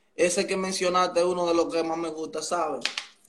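A man is speaking here. His pace is fairly quick. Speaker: musician. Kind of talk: casual interview.

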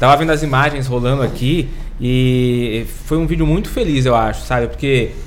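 A man talks at a medium pitch with very even loudness. Audible room echo and noticeable background noise fill the recording. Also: moderate pace. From Brazil, Santos. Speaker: podcast co-host. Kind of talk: casual interview chat. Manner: animated.

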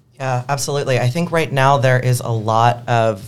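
Fairly even in intonation, a man speaks at medium pitch and a moderate pace. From Pennsylvania, Philadelphia. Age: young. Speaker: activist. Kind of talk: interview conversation.

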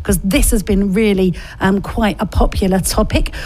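Noticeable background noise is present throughout. Over it, a woman speaks at a fairly quick pace. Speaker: radio host. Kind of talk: radio dj patter. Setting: studio. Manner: animated; warm, chatty.

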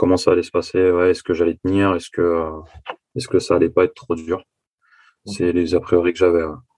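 A man's very deep, low, monotone voice at a fairly quick pace, with long, frequent pauses, a dry, close sound with no echo, and a quiet background. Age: 20s. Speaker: construction site manager, coaching client. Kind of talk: testimony interview.

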